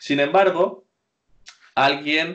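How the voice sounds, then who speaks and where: The pace here is very slow as a man talks. Ordinary variation marks his pitch. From Spain. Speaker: Spanish teacher. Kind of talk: interview.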